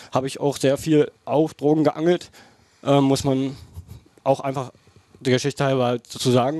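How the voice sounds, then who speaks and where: At a moderate pace, a man talks with a fairly high pitch and a dark, mellow tone in monotone, flat intonation. The background is quiet and the sound dry, with no echo. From Brandenburg, Germany. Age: 20s. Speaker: angling YouTuber; podcast guest. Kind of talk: interview. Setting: outdoor backyard. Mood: earnest, personal confession. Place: home room. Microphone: headset.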